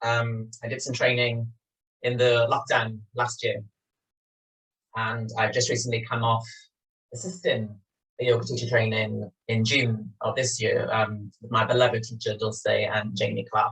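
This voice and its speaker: In a Welsh accent, a man speaks at a medium pitch and fairly slow pace with monotone, flat intonation. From Wales, Swansea. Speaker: yoga teacher. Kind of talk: guided yoga class. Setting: home studio, filmed over video call.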